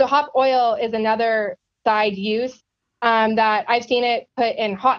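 The intonation is monotone and flat. The voice carries a US West Coast accent. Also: woman. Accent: US West Coast American. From US Pacific Northwest, Yakima Valley, Washington. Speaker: agricultural science communicator. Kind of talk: podcast interview.

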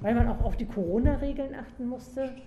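Someone speaks at a fairly quick pace with ordinary pitch variation, over audible room echo and noticeable background noise. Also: woman. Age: 60s. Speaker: community police officer. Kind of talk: interview. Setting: in-person interview on location.

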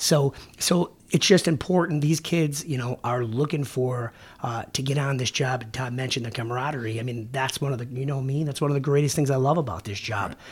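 A man with a somewhat breathy, medium-pitched voice talks at a fairly quick pace with ordinary pitch variation. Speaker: police sergeant. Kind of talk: casual interview chat. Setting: podcast studio.

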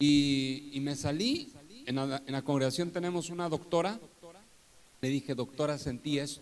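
Moderate speed, ordinary pitch variation and a fairly high pitch from a man with an unremarkable speaking voice. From northern Mexico (Torreón, Coahuila). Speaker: pastor. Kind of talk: testimony in a live church interview. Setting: live event with audience, streamed.

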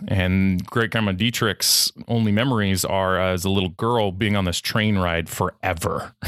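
A man speaks in a plain, everyday voice with an American accent. His pitch sits fairly low. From California, US. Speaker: podcast host, guest here. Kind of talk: casual interview. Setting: remote podcast interview.

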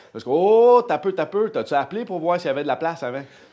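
Lively intonation and an animated tone. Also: man. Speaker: churchgoer. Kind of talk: testimony. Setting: church.

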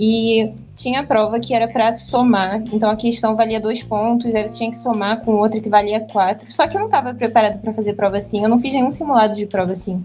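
A woman speaks at a fairly quick pace with fairly even intonation. Music plays in the background. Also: fairly high pitch for a woman, hardly any pauses. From Rio de Janeiro, Brazil. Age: 20s. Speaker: medical student. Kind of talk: casual chat.

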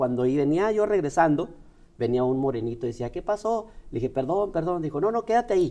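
Speaking at a fairly quick pace with a Chihuahua Mexican accent, a man uses a high pitch and a dark, mellow tone, his pitch swinging very widely. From northern Mexico (Ciudad Juárez, Chihuahua). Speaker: motivational speaker. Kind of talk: interview. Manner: halting.

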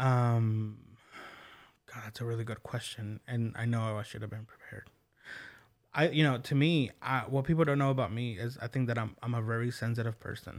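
In a very clean recording with a silent background, a man with an American accent and a normal speaking voice talks at a medium pitch and moderate pace, with fairly even intonation but big swings in loudness. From Oklahoma, US. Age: 30s. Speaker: podcast host. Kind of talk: casual interview. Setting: studio.

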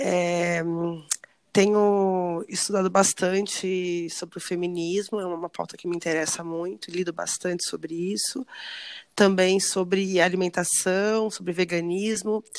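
Here a woman speaks in a medium pitch at a fairly slow pace. Her intonation is fairly even. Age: 30s. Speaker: educator. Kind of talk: casual chat.

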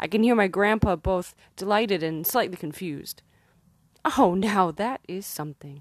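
A woman speaks in an ordinary speaking voice at a moderate pace, her pitch medium. Pitch varies in an ordinary way over a quiet background. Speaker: poet and musician. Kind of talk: poetry reading with a warm, intimate, spoken-word intro. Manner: playful, with bursts of laughter.

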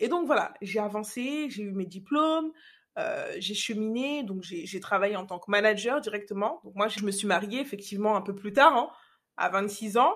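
A woman with an unremarkable speaking voice talks at a fairly high pitch and a moderate pace. Her intonation is lively, and her loudness swings widely. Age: 30s. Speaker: podcast host, confidence coach. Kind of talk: personal storytelling monologue. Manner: casual, conversational.

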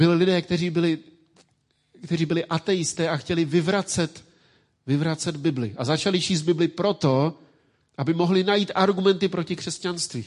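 Using fairly even intonation, a man with a high pitch speaks at a moderate pace. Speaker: pastor. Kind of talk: sermon.

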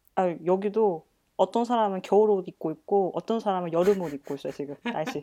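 Medium-pitched woman with a dark, mellow tone and ordinary pitch variation at a fairly quick pace, in a dry, close sound with no echo. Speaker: guest living in Europe. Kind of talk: casual chat.

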